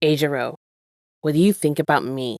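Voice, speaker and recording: A put-on, gruff, soft-spoken character voice at low-to-middle pitch and a fairly quick pace. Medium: read story. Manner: gruff, clipped.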